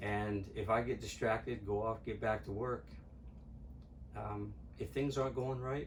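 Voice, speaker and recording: Amid audible room echo, a man talks at a fairly slow pace with long, frequent pauses, using a fairly low pitch with ordinary variation. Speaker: patient with oral appliance. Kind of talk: interview.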